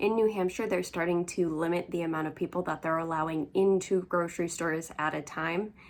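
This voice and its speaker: Quiet and fairly low-pitched, a woman speaks at a fairly quick pace with fairly even intonation and hardly any pauses, on a very clean recording with a silent background. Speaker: crafting vlogger. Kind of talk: casual chat. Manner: rambling, chatty.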